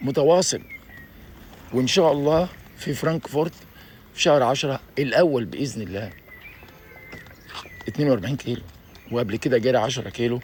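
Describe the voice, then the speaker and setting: This man has a fairly high pitch and lively intonation. His pace is fairly quick. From Egypt. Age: 60s. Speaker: YouTuber. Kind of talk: video monologue. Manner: animated.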